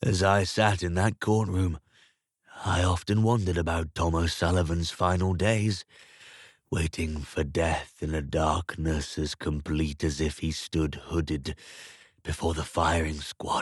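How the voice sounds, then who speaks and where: A man with a very deep, low pitch talks at a fairly slow pace with fairly even intonation. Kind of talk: literary crime story reading. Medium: read story. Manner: measured, contemplative.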